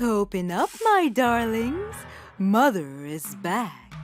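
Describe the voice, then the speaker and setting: Against clear background noise, a woman puts on a character voice, fairly high in pitch, at a very slow pace. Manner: growling, deceitful.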